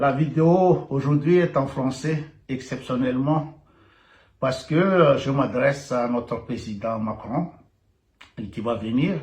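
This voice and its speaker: A man's somewhat breathy voice moves very slowly, its intonation lively. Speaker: video blogger. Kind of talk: satirical video monologue. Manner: halting.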